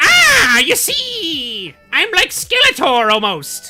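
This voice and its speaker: Faint music sits behind a put-on character voice at an extremely high pitch and a very slow pace. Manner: villainous.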